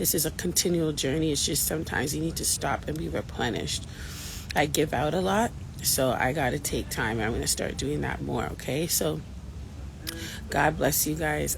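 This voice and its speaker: A woman with a very deep, low pitch speaks quietly at a moderate pace with very wide pitch swings. Audible room echo and noticeable background noise surround her voice. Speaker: faith-based abuse recovery vlogger. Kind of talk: casual vlog monologue. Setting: outdoors in Jamaica with people around. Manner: quiet, holding back volume; animated, encouraging.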